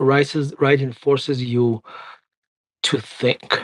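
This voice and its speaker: With a slight Russian accent, a man speaks at a medium pitch and fairly even intonation, the sound dry and close with no echo. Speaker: investment firm CEO and author. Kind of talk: interview conversation.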